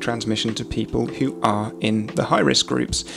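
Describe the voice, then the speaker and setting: A man talks while noticeable background noise plays. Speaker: commentary youtuber. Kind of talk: commentary. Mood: calm critical. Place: home room. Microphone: studio mic.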